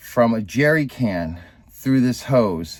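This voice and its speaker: Very slowly, a man talks at a medium pitch. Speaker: sailing vlogger. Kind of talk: casual vlog talk to camera. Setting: on a sailboat, in engine compartment. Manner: hesitant, many fillers.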